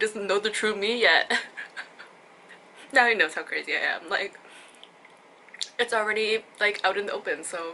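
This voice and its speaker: Over noticeable background noise, a woman speaks at a fairly high pitch and a moderate pace. Her intonation is fairly even, with long, frequent pauses. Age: young. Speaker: vlogger. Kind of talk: casual chat. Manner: loud.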